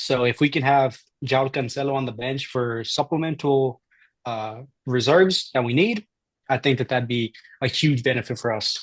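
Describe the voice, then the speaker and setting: With a non-native accent, a man talks at a moderate pace and medium pitch with ordinary pitch variation, and the sound is dry and close with no echo. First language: not English. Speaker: podcast co-host. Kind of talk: casual chat.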